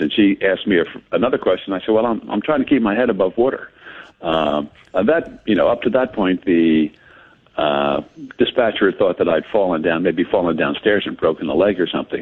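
A man's ordinary speaking voice, fairly low in pitch, fairly quick, with lively intonation. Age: 60s. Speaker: man who fell into a well. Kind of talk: phone interview. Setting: phone call.

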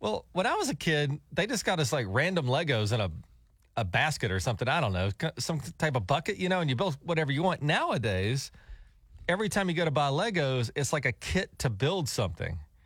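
On a very clean recording with a silent background, a man with a fairly high pitch and vocal fry speaks at a fairly quick pace, his pitch swinging very widely while his loudness stays very even. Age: middle-aged. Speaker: radio host. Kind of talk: casual chat. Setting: studio.

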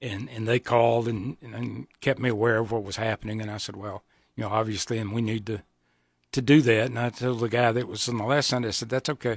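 A man speaks very fast with a Southern US accent, his pitch sitting in the medium range. The recording is very clean and dry, close with no echo, over a silent background. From US South, Georgia. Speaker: pastor. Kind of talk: radio interview. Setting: studio.

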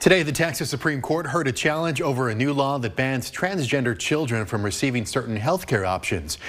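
Speaking fairly quickly with hardly any pauses, a man uses a medium pitch and lively intonation against noticeable background noise. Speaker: news anchor. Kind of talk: news reading.

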